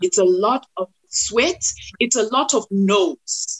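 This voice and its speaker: A woman with a Zimbabwean accent speaks at a medium pitch. Her tone is animated and her intonation lively. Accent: Zimbabwean Ndebele English. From Zimbabwe, Bulawayo. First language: Ndebele. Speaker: actress and TV/radio presenter. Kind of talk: podcast interview.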